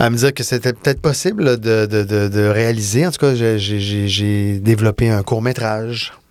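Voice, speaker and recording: A man's medium-pitched voice with a Quebec accent, fairly even intonation and a fairly slow pace, music playing in the background. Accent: Québécois French. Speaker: film and TV director. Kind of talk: casual interview. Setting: studio.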